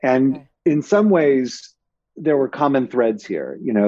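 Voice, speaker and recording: A man speaks at a fairly slow pace with a Californian accent. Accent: Californian American. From Los Angeles, San Fernando Valley. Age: 40s. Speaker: media company executive. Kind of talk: interview. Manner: halting.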